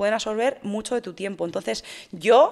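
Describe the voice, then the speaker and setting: Against a quiet background, a woman talks with a fairly high pitch. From Spain, Madrid. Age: 30s. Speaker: fitness influencer and bodybuilding competitor; fitness influencer. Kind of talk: interview. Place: studio. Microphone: studio mic.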